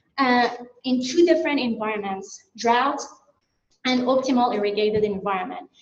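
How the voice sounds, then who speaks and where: With a Persian accent and audible room echo, a woman speaks at a high pitch with ordinary pitch variation and long, frequent pauses. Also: moderate pace. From Iran. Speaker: plant science researcher. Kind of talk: conference presentation. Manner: some hesitations and restarts.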